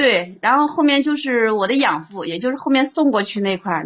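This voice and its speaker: Her pitch is fairly high and her intonation lively. The woman talks at a fairly quick pace. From Hubei, China. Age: 40s. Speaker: caller. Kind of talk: phone-in confession of life story.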